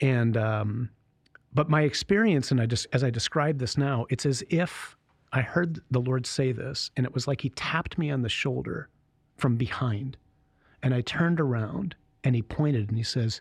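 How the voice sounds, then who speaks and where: In an American accent, the speaker sounds somewhat breathy, with ordinary pitch variation at a moderate pace, on a very clean recording with a silent background. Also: man. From Michigan, US. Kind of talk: casual interview, vocation story. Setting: studio.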